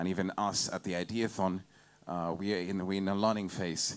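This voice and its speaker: The man's voice is very deep and low, at a moderate pace. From Uganda. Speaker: event emcee. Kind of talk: event hosting. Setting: stage with audience. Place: tent.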